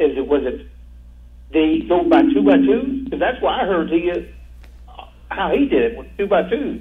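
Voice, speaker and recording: A man speaks in an American accent, leaving long, frequent pauses. Noticeable background noise runs under the recording. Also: moderate pace. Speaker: caller. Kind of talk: phone-in conversation. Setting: phone call. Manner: halting.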